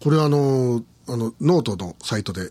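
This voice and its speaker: A man talks at a moderate pace in a somewhat breathy voice, his pitch swinging very widely. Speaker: podcast host. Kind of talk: solo monologue. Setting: studio. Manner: halting.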